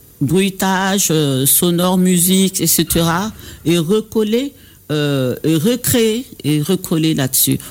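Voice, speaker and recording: A man with an Ivorian accent at a very slow pace, high pitch, ordinary pitch variation and very even loudness, on a very clean recording with a silent background. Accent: Baoulé-accented French. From Côte d'Ivoire (Baoulé). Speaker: singer and dubbing studio director. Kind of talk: radio interview. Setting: radio studio. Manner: halting.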